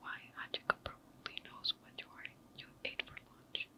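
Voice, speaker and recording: Noticeable background noise runs beneath the recording. A woman whispers, taking a fairly slow pace. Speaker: ASMR content creator. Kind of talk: ASMR whispered story reading. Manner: whispered, soft.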